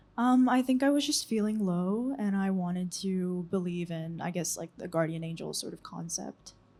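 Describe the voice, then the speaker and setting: Moderately paced with hardly any pauses, a woman speaks at medium pitch with lively intonation. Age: 20s. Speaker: visual artist. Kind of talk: interview. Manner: halting, many ums.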